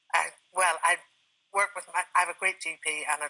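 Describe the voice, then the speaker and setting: A woman with a bright, sharp tone speaks in a flat, monotone way. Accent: Irish. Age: 60s. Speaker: retired traveller with Parkinson's, TV guest. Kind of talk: TV interview. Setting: TV studio.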